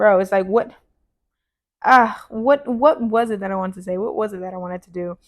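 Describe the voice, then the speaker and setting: Her pitch fairly high, a woman speaks at a very fast pace. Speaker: podcast host. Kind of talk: casual monologue. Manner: loud; casual, filler-heavy.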